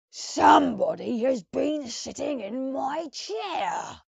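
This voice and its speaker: A gruff, high put-on character voice drags along at a very slow pace. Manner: indignant, complaining.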